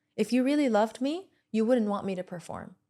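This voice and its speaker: A woman speaks at a very fast pace with ordinary pitch variation. Her tone is dark and mellow. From Lebanon. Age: 30s. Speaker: entrepreneur and podcast host. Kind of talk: podcast interview.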